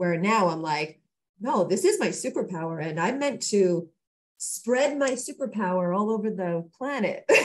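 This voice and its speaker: A woman speaks at a moderate pace in a somewhat breathy voice with ordinary pitch variation. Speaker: podcast co-host. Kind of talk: casual chat. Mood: warm, earnest self-reflection. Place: home room. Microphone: video call.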